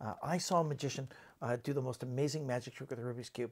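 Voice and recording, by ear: A man speaks fast at a medium pitch with ordinary pitch variation, a slightly mellow tone, a slightly husky edge and vocal fry.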